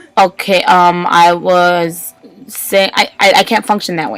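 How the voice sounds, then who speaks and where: A woman's voice with noticeable background noise. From Puerto Rican background. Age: 30s. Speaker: vlogger with Tourette syndrome. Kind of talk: personal vlog monologue. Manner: fast; vocal tics, repeated outbursts.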